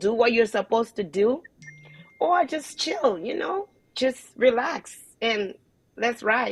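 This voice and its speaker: With music in the background, a woman with a Liberian accent speaks at a fairly slow pace in an animated tone and a fairly high pitch. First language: not English. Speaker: online show host. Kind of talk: casual chat.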